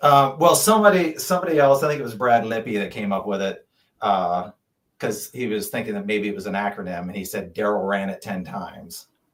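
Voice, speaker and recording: A man's fairly low voice in a Pennsylvania accent, fairly quick, with lively intonation and big swings in loudness. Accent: Franklin County, Pennsylvania. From Pennsylvania, Franklin County. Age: 50s. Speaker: ultrarunner. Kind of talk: casual chat.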